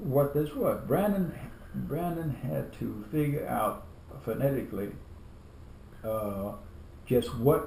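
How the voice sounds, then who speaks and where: A man talks at a very slow pace with long, frequent pauses. His voice has audible room echo. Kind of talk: family interview. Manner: halting, many repetitions.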